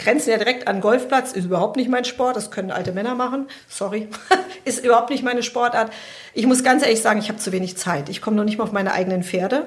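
Speaking at a very fast pace, a woman sounds somewhat breathy. Her pitch variation is ordinary. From Germany, Hesse (Frankfurt area). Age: 50s. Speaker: veterinarian.

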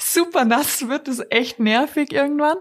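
Lively intonation marks this voice with a slight Bavarian accent, delivered at a moderate pace. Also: woman. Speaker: TV presenter. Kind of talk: casual interview.

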